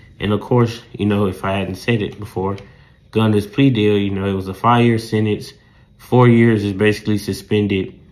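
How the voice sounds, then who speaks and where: With a Southern US accent, a man speaks at a moderate pace. His pitch is fairly low and his intonation monotone and flat. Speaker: podcast host, sports and news commentator. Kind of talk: solo podcast commentary. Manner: rambling, filler-heavy.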